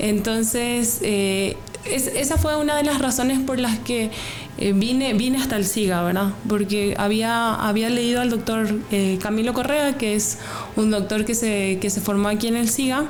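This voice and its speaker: With a Paraguayan accent, a woman speaks fairly slowly at a fairly high pitch, her loudness very even and pitch variation ordinary. Noticeable background noise and audible room echo are present. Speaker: graduate student researcher. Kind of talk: interview. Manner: hesitant, many fillers and repetitions.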